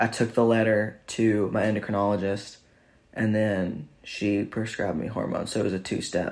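A man with an ordinary speaking voice, fairly low in pitch, fairly even in intonation, at a moderate pace. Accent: American. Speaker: podcast host. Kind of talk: casual chat. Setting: home recording with wife.

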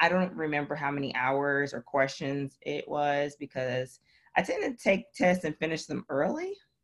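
A woman's very deep, low voice with ordinary pitch variation, in an American accent. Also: moderate pace. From US Midwest, Milwaukee, Wisconsin. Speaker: emergency physician. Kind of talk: casual interview.

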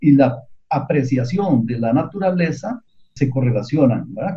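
Somewhat breathy, a man talks at a fairly slow pace with lively intonation and a dark, mellow tone. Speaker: researcher. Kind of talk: radio interview.

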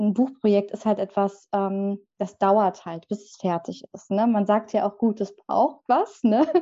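A woman's dark, mellow tone at a medium pitch, with fairly even intonation and a fairly slow pace. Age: 20s. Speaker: book designer and author. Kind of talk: casual interview.

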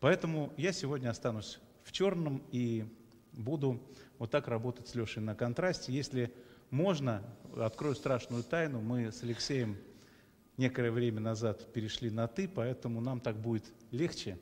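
A man talks at a moderate pace and a medium pitch, with a warm tone. His pitch varies in an ordinary way, and he takes long, frequent pauses. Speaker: theatre director and interviewer. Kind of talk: live interview chat with friendly banter. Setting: live stream. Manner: talkative, warm, informal, with filler sounds.

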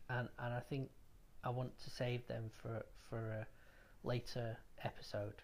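Somewhat breathy and monotone, with flat intonation, a man speaks at a fairly slow pace with very even loudness and long, frequent pauses. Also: medium pitch for a man. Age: 30s. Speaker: podcast host. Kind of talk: personal testimony.

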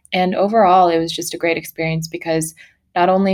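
A woman's fairly low voice with a Californian accent and fairly even intonation. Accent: Californian American. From Sacramento, California (partly Mongolia). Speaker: entrepreneur. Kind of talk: interview.

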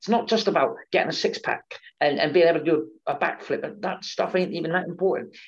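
The speaker is a man with a West Country accent. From England, Devon (Exeter). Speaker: pro wrestler and wrestling promoter. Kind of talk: interview.

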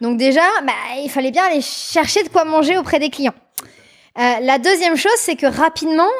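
Her voice is high and her intonation lively. The woman keeps a moderate pace. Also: very clean recording, silent background. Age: 30s. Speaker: scientist and company CEO. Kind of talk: interview.

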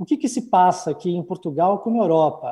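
High-pitched man with a dark, mellow tone, moderate pace, and ordinary pitch variation, in a very clean recording with a silent background. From Brazil, São Paulo. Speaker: business consultant, entrepreneur. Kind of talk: interview at a launch event.

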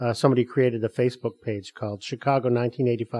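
With an American accent, a man speaks in a plain, everyday voice at a medium pitch and a fairly quick pace. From Detroit, Michigan. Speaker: actor and comedian. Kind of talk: casual chat.

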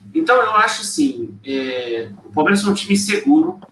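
Amid noticeable background noise, a man with a high pitch talks at a moderate pace, his pitch swinging very widely. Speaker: football podcast panelist. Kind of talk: casual chat. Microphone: too quiet at first.

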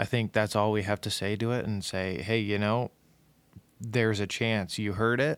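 At a fairly slow pace, a man with an unremarkable speaking voice talks in a fairly low pitch with fairly even intonation on a very clean recording with a silent background. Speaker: podcast producer and co-founder. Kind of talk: casual chat.

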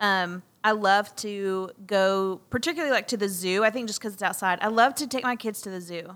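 A woman with an unremarkable speaking voice talks at medium pitch and a moderate pace, with ordinary pitch variation and hardly any pauses. Her loudness swings widely, and the recording is very clean with a silent background. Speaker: podcast co-host. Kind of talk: casual chat. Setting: studio.

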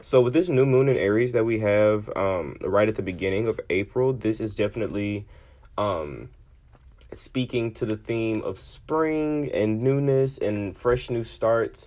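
An American-accented man with a medium pitch speaks at a fairly slow pace with ordinary pitch variation. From Memphis, Tennessee (US South). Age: 20s. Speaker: podcast host, tarot and astrology reader. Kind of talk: casual monologue. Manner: casual, frequent laughter and fillers.

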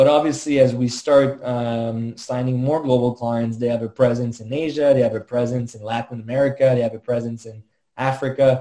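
At a fairly quick pace, a man speaks in a dark, mellow tone with monotone, flat intonation. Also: medium pitch for a man, hardly any pauses. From Quebec, Montreal. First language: French. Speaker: tech startup co-founder. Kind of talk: interview.

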